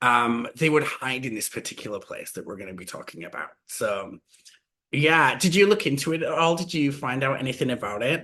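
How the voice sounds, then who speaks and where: A man speaks with a Yorkshire accent in a fairly high voice. His intonation is lively and his tone bright and sharp. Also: fairly quick pace. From West Yorkshire, England. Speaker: podcast co-host. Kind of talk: casual chat.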